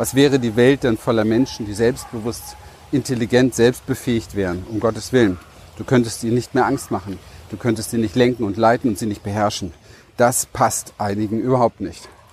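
Noticeable background noise sits behind a man at a medium pitch. He speaks at a fairly quick pace with fairly even intonation. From Berlin, Germany. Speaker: life and business coach. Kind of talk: motivational monologue.

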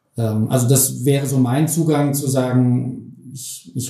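A man speaks with fairly even intonation, and some room echo can be heard. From Germany, Hesse (Bergstraße, Heppenheim). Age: 50s. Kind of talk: interview.

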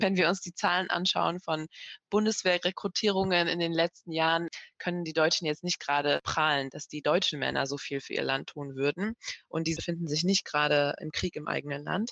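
A woman speaks at a fairly quick pace with fairly low pitch and fairly even intonation, in an ordinary speaking voice. The sound is dry and close, with no echo. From Germany, grew up after fleeing Kabul at four. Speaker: journalist, head of a broadcaster's language desk. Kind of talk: casual chat.

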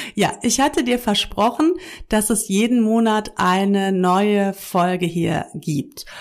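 Very slow speech with very even loudness, on a very clean recording with a silent background. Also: woman, medium pitch for a woman. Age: 40s. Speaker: yoga teacher and podcast host. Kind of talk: casual monologue. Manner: conversational with many fillers.

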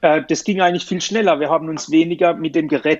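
A man talks at a fairly quick pace in a plain, everyday voice. His pitch is fairly high and his intonation fairly even. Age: 40s. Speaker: company director in metal 3D printing. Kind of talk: casual interview.

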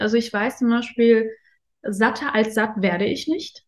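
A woman speaks in a fairly high voice. Her delivery is somewhat breathy. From Afghanistan, raised in Germany from age ten. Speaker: interview guest on luxury and spirituality. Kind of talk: casual interview. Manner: hesitant, many fillers.

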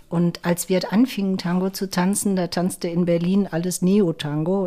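Speaking at a fairly slow pace, a woman uses a normal speaking voice with a fairly low pitch. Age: 60s. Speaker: tango dancer, association volunteer. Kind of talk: casual interview.

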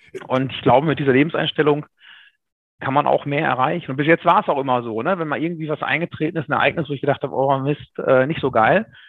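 Very fast male speech, fairly high in pitch and ordinary in pitch variation. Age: 30s. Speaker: insurance broker. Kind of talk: interview.

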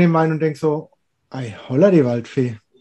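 Moderate pace and ordinary pitch variation in a man's dark, mellow tone. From Palatinate, Germany. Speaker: wine podcast host. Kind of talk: casual chat.

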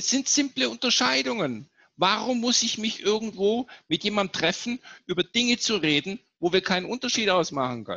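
Speech goes at a moderate pace. Its pitch swings very widely. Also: man, high pitch for a man. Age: 50s. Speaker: leadership speaker and author. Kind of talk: interview. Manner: animated.

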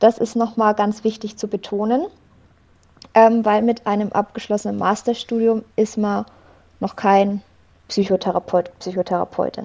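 A woman's fairly high pitch in a monotone, flat intonation, at a moderate pace with long, frequent pauses. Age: 20s. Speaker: psychologist. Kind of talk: interview.

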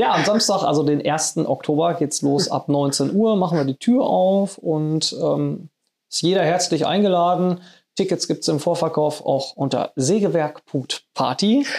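A high-pitched man at a fairly slow pace with ordinary pitch variation, on a very clean recording with a silent background. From Sauerland, western Germany. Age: 30s. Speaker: event company manager. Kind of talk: casual interview. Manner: hesitant with fillers.

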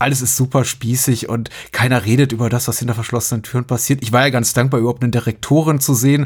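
A man at a very fast pace with hardly any pauses, his voice medium-pitched, somewhat breathy and monotone, with flat intonation. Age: 40s. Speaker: podcast host. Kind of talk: casual chat.

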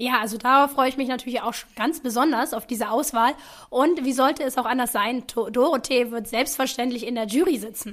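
A woman talks fairly quickly in a high pitch with fairly even intonation. The recording is very clean, with a silent background. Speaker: podcast co-host, researcher. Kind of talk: scripted podcast discussion.

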